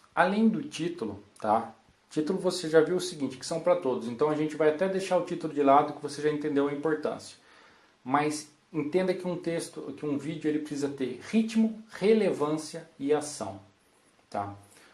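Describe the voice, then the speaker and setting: A man speaks at a moderate pace in a fairly high voice with ordinary pitch variation, and the room echo is audible. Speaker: copywriter giving a talk. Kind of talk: conference talk. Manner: animated.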